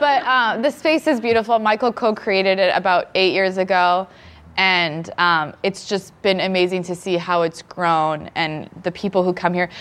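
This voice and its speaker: In a plain, everyday voice with a Canadian accent, the speaker keeps a moderate pace, ordinary pitch variation and very even loudness over a quiet background. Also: woman, medium pitch for a woman. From Canada. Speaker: nurse and new mother. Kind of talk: casual chat. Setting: stage with audience.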